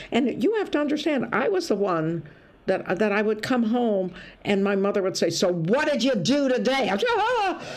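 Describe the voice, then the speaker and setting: A woman talks at a moderate pace with very wide pitch swings yet very even loudness. Background noise is noticeable, and room echo is audible. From US Midwest, Toledo, Ohio. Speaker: stand-up comedian. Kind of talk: casual interview chat. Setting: video call. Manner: animated storytelling.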